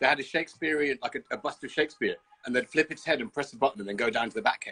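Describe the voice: Delivered at a very fast pace, this bright, sharp voice has a slightly husky edge and a slight Birmingham accent. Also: man, medium pitch for a man, ordinary pitch variation. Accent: English, light Birmingham.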